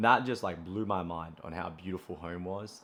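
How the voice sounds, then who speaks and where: A man speaks with a strong Australian accent at a moderate pace. His very deep, low voice keeps a fairly even intonation. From Australia, Brisbane. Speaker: running content creator. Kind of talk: casual vlog monologue. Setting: at home. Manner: casual, many fillers.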